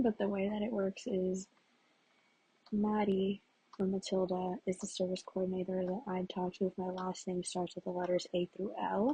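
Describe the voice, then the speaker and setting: A woman speaks quietly. The sound is dry and close, with no echo. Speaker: vlogger. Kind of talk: casual monologue.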